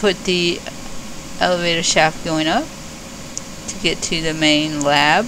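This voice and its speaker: The pace is fairly slow, with long, frequent pauses. Noticeable background noise can be heard. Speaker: gaming video creator. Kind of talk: game build walkthrough. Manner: slowed down deliberately; hesitant, many fillers.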